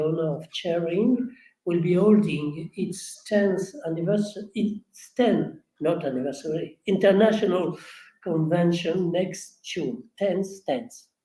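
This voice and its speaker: With a French accent, the voice has a dark, mellow tone, ordinary pitch variation and audible room echo. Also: man. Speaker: historian. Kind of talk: lecture. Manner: halting.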